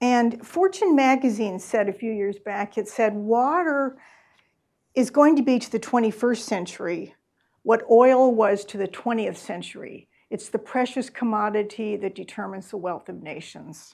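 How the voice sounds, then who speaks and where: A woman's fairly high voice in an American accent, an ordinary speaking voice with ordinary pitch variation and big swings in loudness, on a very clean recording with a silent background. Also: moderate pace. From US Midwest. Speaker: author. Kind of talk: book talk Q&A. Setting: in-person event with audience.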